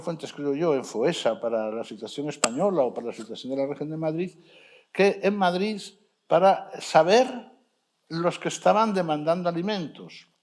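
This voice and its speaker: Speaking with an Asturian accent, a man uses a high pitch and lively intonation. His pace is moderate. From Asturias, Spain. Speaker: sociologist researcher. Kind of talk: panel discussion. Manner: halting, self-correcting.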